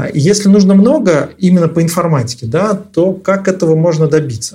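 A high-pitched man with a dark, mellow tone, lively intonation and a moderate pace. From Nizhny Novgorod, Russia. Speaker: podcast host. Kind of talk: interview.

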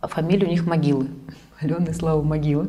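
Fairly even intonation at a fairly quick pace, with audible room echo. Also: woman. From Kazan, Russia (Tatarstan). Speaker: event organizer. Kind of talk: interview conversation.

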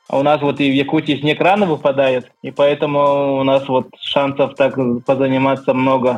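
A man speaks in a fairly high pitch with a monotone, flat intonation and very even loudness while music plays in the background. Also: moderate pace. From Yakutia, Russia (rural village). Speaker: skyrunner. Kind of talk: interview.

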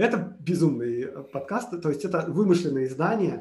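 A man speaks at a moderate pace in a high voice. His pitch rises and falls in an ordinary way. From Moscow, Russia. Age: 30s. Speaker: podcaster and musician. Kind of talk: casual interview chat. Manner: talkative, flowing storyteller.

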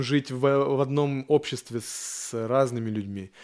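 The man's voice sits fairly high in pitch and has a dark, mellow tone. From Yaroslavl region, Russia. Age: 30s. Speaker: tattoo artist. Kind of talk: casual chat. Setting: tattoo studio.

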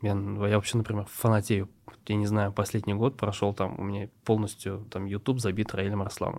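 On a very clean recording with total silence behind him, a man talks at a moderate pace in a fairly low, monotone voice with flat intonation. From Tatarstan, Russia (Nurlat district village). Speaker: startup co-founder. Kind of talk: interview conversation.

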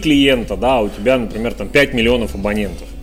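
A man talks over noticeable background noise with audible room echo. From Russia, Urals (Chelyabinsk). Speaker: entrepreneur, business mentor. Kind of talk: interview. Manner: hesitant, many fillers.

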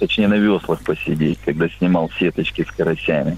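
A man speaks at a fairly quick pace in a very deep, low pitch. His pitch variation is ordinary. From Amur region, Russian Far East. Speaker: caller. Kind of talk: phone-in anecdote. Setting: phone call.

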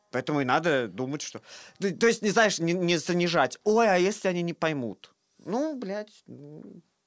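A man speaks at a fairly slow pace with a high pitch and lively intonation. His loudness swings widely, in a dry, close sound with no echo. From Russia, Saint Petersburg. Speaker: theatre director. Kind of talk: casual chat.

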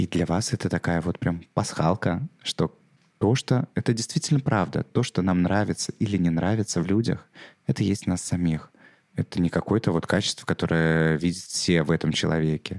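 Dry and close with no echo, a man's very deep, low voice moves at a moderate pace with ordinary pitch variation. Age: 30s. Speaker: podcast host, psychotherapist. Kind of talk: solo podcast monologue.

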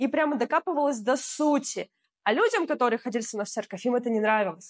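A woman speaks with lively intonation in a dry, close sound with no echo. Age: 20s. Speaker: blogger. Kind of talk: casual chat.

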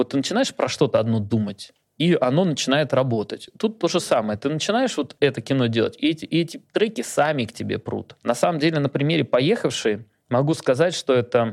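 A plain, everyday voice with lively intonation at a fairly quick pace, on a very clean recording with a silent background. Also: man, fairly high pitch for a man. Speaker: film director. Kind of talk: casual interview chat.

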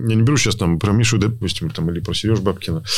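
The man's voice comes across as somewhat breathy. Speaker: rally co-driver. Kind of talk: casual chat.

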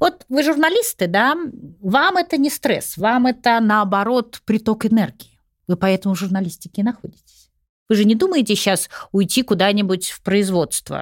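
A woman with an unremarkable speaking voice and a fairly high pitch talks at a moderate pace with lively intonation, in a dry, close recording with no echo. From Russia, St. Petersburg. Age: 60s. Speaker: executive recruiter and psychology professor. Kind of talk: podcast interview.

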